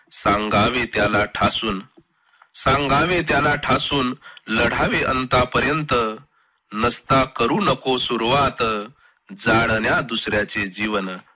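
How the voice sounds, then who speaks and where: A normal speaking voice from a man, pitched in the medium range and varying in an ordinary way. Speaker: poet. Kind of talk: poetry reading. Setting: radio studio.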